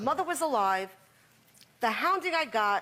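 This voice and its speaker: Loud and with very wide pitch swings, a woman speaks over noticeable background noise. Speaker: talk show guest, mother in family conflict. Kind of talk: heated confrontation on talk show.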